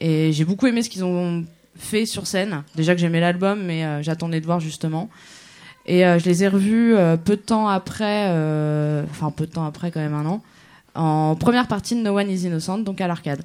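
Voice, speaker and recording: With ordinary pitch variation, a woman speaks at a moderate pace in a fairly low pitch. Her pauses are long and frequent. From Germany. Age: 20s. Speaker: concert promoter, runs an association. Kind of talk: casual interview. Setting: live radio in a cabaret with audience.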